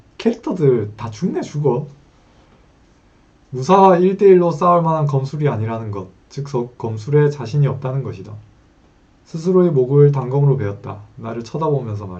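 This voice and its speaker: A man's fairly high, somewhat breathy voice with very wide pitch swings. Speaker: web novel reader and commentator. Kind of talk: reading aloud with commentary; casual aside. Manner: stumbling pronunciation.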